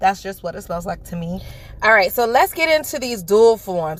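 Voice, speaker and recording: With a New York accent, a woman speaks in an animated tone at a fairly high pitch. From New York (Bronx), Jamaican family. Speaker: nail beauty YouTuber. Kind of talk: product unboxing review. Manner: loud.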